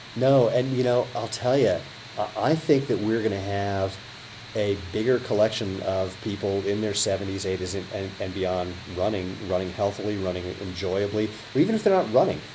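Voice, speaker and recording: Noticeable background noise sits behind a voice that moves at a moderate pace with ordinary pitch variation. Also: man. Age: 50s. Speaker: sprinter. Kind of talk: interview host talk.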